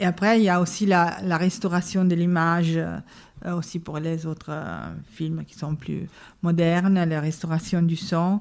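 A woman speaks with an Italian accent at a fairly slow pace. Her intonation is monotone and flat. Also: fairly low pitch for a woman, big swings in loudness, very clean recording, silent background. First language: Italian (speaking French). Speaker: film archivist. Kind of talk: interview. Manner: halting.

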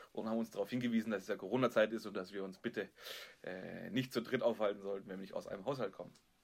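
Very fast speech from a man, with pitch varying in an ordinary way. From Stuttgart area, Germany. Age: 30s. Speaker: podcast co-host. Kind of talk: casual chat. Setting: video call.

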